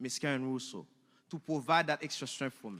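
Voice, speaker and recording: On a very clean recording with a silent background, a man with a strong Haitian accent speaks in a bright, sharp tone. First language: Haitian Creole or French. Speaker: alumni speaker, automotive technician and teacher. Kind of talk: speech.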